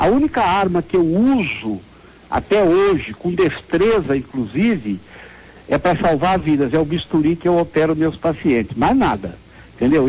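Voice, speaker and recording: Here a man speaks at a moderate pace. His pitch is high and swings very widely. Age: 60s. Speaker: city councillor and surgeon. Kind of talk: interview.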